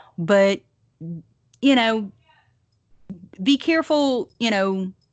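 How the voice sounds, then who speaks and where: A woman speaks in a strong Southern US accent at a very slow pace. Her pitch variation is ordinary. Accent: thick Southern. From US South. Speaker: podcast host. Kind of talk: casual chat. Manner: conversational, with many fillers.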